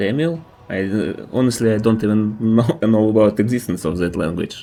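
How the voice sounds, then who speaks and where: In a Russian accent, a man with a fairly low pitch talks at a moderate pace with lively intonation. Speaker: video game streamer. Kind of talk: gameplay live stream commentary. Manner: casual, thinking aloud.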